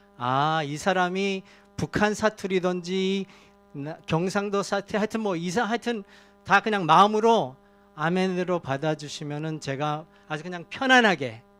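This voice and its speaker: Music in the background behind a man's high-pitched voice at a fairly slow pace. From Korea, emigrated to Canada in elementary school. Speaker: guest preacher. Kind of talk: sermon. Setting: church. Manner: halting, many fillers.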